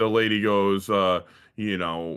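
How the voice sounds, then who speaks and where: A man's fairly low voice with a bright, sharp tone, in a very clean recording with a silent background. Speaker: podcast co-host. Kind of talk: casual chat.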